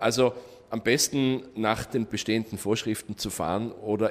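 A man's plain, everyday voice at a moderate pace, with ordinary pitch variation. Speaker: tour operator. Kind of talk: interview.

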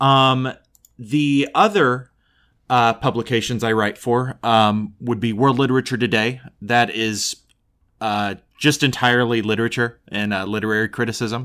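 A man with an American accent at medium pitch and moderate pace, bright and sharp in tone, with fairly even intonation, in a very clean recording with a silent background. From Oklahoma, US. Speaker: film critic. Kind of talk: casual chat, movie review discussion.

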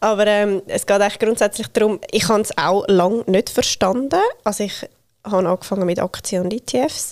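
An unremarkable speaking voice moves at a moderate pace with ordinary pitch variation and a dry, close sound with no echo. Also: woman, medium pitch for a woman. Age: 30s. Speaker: self-employed financial educator. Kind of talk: podcast interview.

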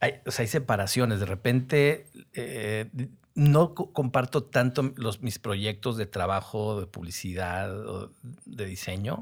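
A man at a very slow pace with ordinary pitch variation, in a very clean recording with a silent background. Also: medium pitch for a man. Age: 50s. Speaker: advertising copywriter. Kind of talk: casual interview chat.

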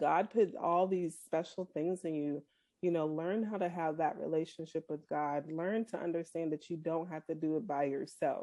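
The voice has a dark, mellow tone. Its pace is moderate. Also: woman, fairly low pitch for a woman, fairly even intonation. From Boston. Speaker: saleswoman and grieving daughter. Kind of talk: interview. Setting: recorded interview.

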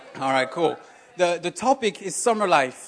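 The speaker has a French accent. The pace is fairly quick. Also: man. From France. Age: 30s. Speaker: lay preacher. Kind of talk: sermon. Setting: church stage with audience.

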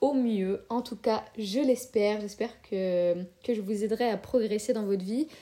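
Fairly even in intonation, the dark, mellow voice moves at a fairly slow pace. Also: woman. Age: 20s. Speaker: podcast host and student. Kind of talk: casual solo monologue.

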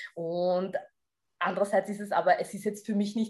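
A woman talks at a moderate pace in a medium pitch, with fairly even intonation. It is an ordinary speaking voice. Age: 30s. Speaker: fitness coach. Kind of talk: interview.

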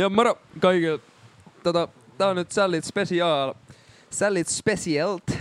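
A man speaks very slowly in a high pitch with fairly even intonation and long, frequent pauses, the sound dry and close with no echo. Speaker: podcast co-host. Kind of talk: casual chat.

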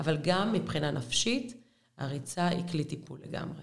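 Woman with a very deep, low pitch, somewhat breathy, lively intonation and moderate pace, in audible room echo. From Israel, Beersheba. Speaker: women's running coach. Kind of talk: casual interview.

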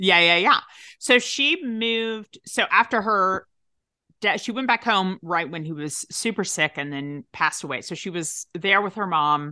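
In a Tennessee accent, a woman speaks at a medium pitch with a bright, sharp tone and lively intonation, the sound dry and close with no echo. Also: fairly slow pace, quiet background. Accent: Southern US, Tennessee. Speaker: actress, writer and podcast producer. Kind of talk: casual chat.

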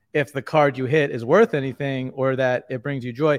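A man with an American accent has a normal speaking voice at a medium pitch and a moderate pace. The sound is dry and close with no echo against a quiet background. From New York. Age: 30s. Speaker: sports card content creator. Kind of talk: casual podcast interview.

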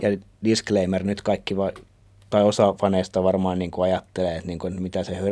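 A man speaks at a moderate pace. His very deep, low voice has a dark, mellow tone. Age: 30s. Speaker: podcast co-host. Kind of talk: casual chat.

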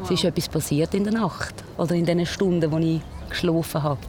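Noticeable background noise runs behind a woman's voice. Her pitch is very deep and low, with ordinary variation. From Switzerland, Basel-Land (Pratteln). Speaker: radio presenter and nurse, runs a culture ship. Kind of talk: interview.

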